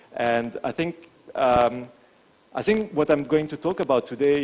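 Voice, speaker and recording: A fairly high-pitched man with a French accent, at a fairly slow pace with ordinary pitch variation. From France. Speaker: branding agency founder and CEO. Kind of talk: conference talk. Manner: hesitant, many filler words.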